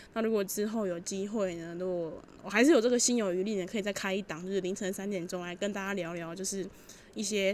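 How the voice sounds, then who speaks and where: With a Taiwanese accent, a woman speaks at a fairly quick pace with a medium pitch and ordinary pitch variation. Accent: Taiwanese Mandarin. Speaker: student radio DJ. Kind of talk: music radio show.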